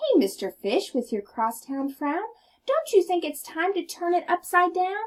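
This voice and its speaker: The voice is a squeaky, put-on character voice. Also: woman, extremely high pitch for a woman, moderate pace. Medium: read story.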